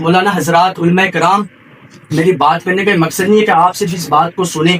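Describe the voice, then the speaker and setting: Amid noticeable background noise, a man speaks at a high pitch with ordinary pitch variation. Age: young. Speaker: Islamic seminary student. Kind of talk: religious sermon to an audience. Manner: earnest, exhortative.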